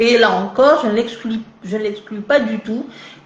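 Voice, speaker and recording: Through audible room echo and noticeable background noise, a woman talks at a moderate pace in a fairly high pitch. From Algeria, Kabylie (Tizi Ouzou). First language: Kabyle mixed with French (speaking French). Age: 40s. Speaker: novelist and literature professor. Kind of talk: live interview. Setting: live video stream. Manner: halting, many hesitations.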